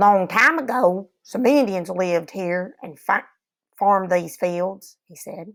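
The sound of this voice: An unforced reading voice with ordinary pitch variation against a quiet background.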